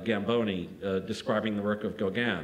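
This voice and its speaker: Here a man talks at a moderate pace. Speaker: art critic and poet. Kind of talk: lecture. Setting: lecture hall with audience. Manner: formal, academic. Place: hall. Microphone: podium.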